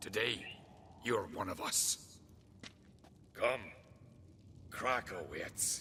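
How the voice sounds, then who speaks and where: A man's raspy, put-on character voice at a very slow pace, with long, frequent pauses. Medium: video game. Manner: formal, archaic phrasing.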